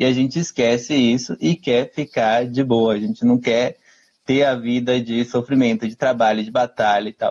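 In an ordinary speaking voice, a man talks at a moderate pace, his medium pitch held in fairly even intonation. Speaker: cultural commentator, live show host. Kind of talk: casual chat.

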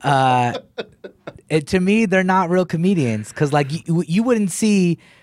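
With an American accent and a plain, everyday voice, a man speaks at a fairly slow pace with lively intonation in a very clean recording with a silent background. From Texas, Killeen. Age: 30s. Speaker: comedian. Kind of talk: casual chat.

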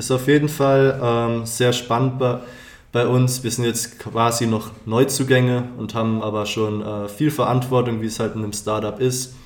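In a room with audible echo, a man of medium pitch talks at a fairly slow pace in a monotone, flat intonation. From Palatinate, Germany. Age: 20s. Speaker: student podcast co-host, business development. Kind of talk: casual chat.

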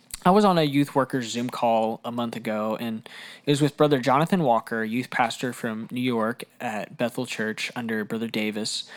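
At a moderate pace, a man talks in an unremarkable speaking voice. His pitch is medium, with ordinary variation. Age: 20s. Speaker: youth pastor. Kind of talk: podcast monologue. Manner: casual, conversational.

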